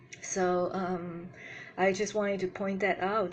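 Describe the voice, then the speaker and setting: A woman with a medium-pitched voice speaks very slowly. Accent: non-native. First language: not English. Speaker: spiritual youtuber. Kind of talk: video commentary monologue. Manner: halting, with fillers.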